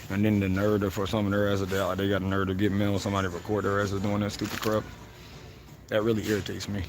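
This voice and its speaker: A man at a fairly low pitch and very fast pace, monotone and flat, very even in loudness, with noticeable background noise and audible room echo. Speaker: livestreamer. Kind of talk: casual livestream monologue.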